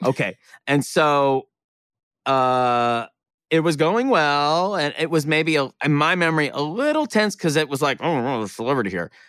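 A man with an unremarkable speaking voice speaks at a moderate pace with lively intonation and a fairly high pitch, in a very clean recording with a silent background. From Oklahoma (Tulsa). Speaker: comedian and actor. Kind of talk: casual chat.

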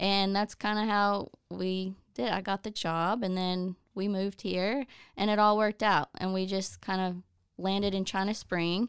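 With an American accent and an unremarkable speaking voice, the speaker talks at a moderate pace with fairly even intonation in a dry, close sound with no echo. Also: woman, medium pitch for a woman, very clean recording, silent background. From southeast Oklahoma. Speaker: occupational therapy assistant. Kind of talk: casual chat.

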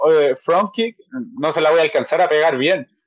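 This man has an unremarkable speaking voice, fairly high in pitch, and he talks at a fairly quick pace. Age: 20s. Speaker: MMA fighter. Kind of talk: casual chat.

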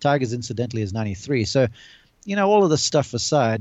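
A man's unremarkable speaking voice at a medium pitch with lively intonation. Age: 40s. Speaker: golf analyst and college golf coach. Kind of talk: casual chat. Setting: video call.

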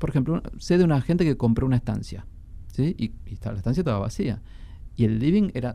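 A man with a Rioplatense accent speaks at a fairly quick pace in a dark, mellow tone. His voice sits at a medium pitch and swings very widely. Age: 40s. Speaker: antiquarian bookseller and book collector. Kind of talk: radio interview.

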